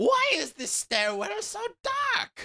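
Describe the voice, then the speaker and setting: A squeaky, put-on character voice. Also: man. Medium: read story. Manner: scheming, condescending.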